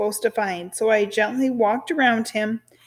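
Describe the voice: Fairly even intonation in plain reading aloud.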